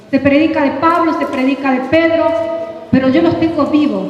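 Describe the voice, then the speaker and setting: A woman speaks with fairly even intonation amid noticeable background noise and audible room echo. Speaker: prophet and preacher. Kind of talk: sermon. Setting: convention workshop with audience. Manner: fast.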